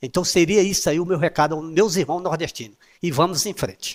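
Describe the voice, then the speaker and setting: A man's unremarkable speaking voice, fairly high in pitch with ordinary pitch variation and a moderate pace, in a very clean recording with a silent background and a dry, close sound with no echo. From Brazil, Piauí (Nordeste). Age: 60s. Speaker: former city councillor, interview guest. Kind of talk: interview.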